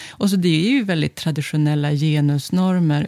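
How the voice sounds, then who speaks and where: The voice has a dark, mellow tone at a moderate pace, with dry, close sound and no echo. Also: woman. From northern Sweden, Örnsköldsvik. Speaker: sociologist. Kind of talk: interview.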